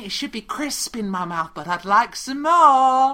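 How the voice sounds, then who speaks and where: A female-sounding, put-on character voice, husky and high-pitched, moves at a moderate pace. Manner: needy, pleading.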